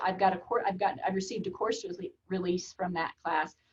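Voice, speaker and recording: A somewhat breathy, medium-pitched woman's voice with an American accent. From Oklahoma. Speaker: college administrator. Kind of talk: interview.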